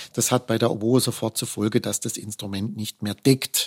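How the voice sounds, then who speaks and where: An ordinary speaking voice from a man at medium pitch and moderate pace, in dry, close sound with no echo on a very clean recording with a silent background. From Baden, southwest Germany (Offenburg). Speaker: principal oboist in an orchestra. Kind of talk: interview conversation.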